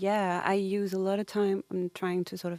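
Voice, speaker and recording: A woman with a non-native accent speaks at a moderate pace in a dark, mellow tone. The sound is dry and close with no echo, in a very clean recording with a silent background. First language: not English. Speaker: singer-songwriter. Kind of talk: interview. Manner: halting.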